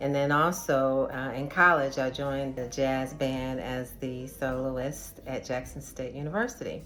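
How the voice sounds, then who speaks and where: Music plays behind a woman with a very deep, low pitch and monotone, flat intonation. She speaks at a fairly slow pace with hardly any pauses. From Chicago, US Midwest. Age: 60s. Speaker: jazz soul singer. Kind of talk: testimony.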